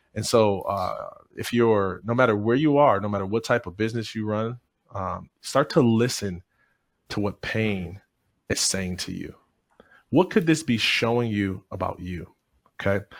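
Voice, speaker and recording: A man's fairly low voice with an American accent, ordinary pitch variation, a moderate pace and long, frequent pauses, in a very clean recording with a silent background. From Michigan, US. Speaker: motivational speaker. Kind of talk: interview.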